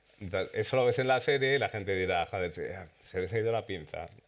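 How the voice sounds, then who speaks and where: With an Aragonese accent, a man talks at a fairly quick pace with ordinary pitch variation. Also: very clean recording, silent background. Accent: Aragonese (maño). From Spain, Zaragoza (Aragon). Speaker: series director. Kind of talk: panel talk at premiere. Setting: cinema with audience.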